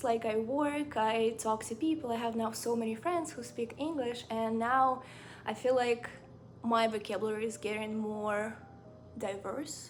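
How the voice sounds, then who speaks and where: A woman with a Ukrainian accent speaks at a fairly slow pace. Her intonation stays fairly even. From Ukraine. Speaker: book and lifestyle vlogger. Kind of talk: casual chat. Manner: casual, filler-heavy.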